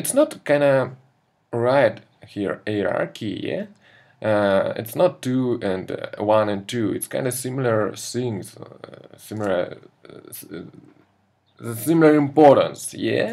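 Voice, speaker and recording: A man with a non-native accent, very slow pace, and big swings in loudness. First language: not English. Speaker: concept artist. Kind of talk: tutorial. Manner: halting, many fillers.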